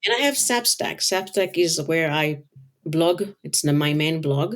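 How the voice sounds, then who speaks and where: In a very clean recording with a silent background, a woman speaks at a fairly low pitch and moderate pace. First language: not English. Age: 50s. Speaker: color designer and author. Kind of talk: interview. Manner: halting.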